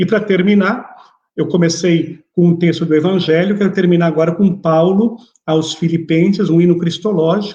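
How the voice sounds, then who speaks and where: A man with a high pitch and a dark, mellow tone talks at a moderate pace. His intonation is fairly even and his loudness very even. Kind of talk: religious lecture.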